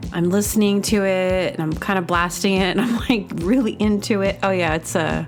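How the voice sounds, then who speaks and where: A woman speaks at a fairly quick pace with hardly any pauses. Her pitch sits in the medium range, and there is noticeable background noise. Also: ordinary pitch variation. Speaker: comedy podcast host. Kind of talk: casual monologue to listeners.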